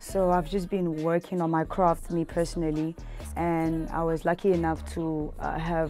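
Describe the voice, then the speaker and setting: A woman with a fairly low pitch talks in a South African accent, with music in the background. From Cape Town, South Africa. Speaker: rapper. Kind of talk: interview answer. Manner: casual.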